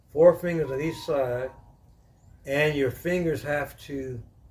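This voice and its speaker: A man with a somewhat breathy, medium-pitched voice speaks very slowly with ordinary pitch variation. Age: 70s. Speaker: martial arts instructor. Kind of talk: tutorial. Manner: halting.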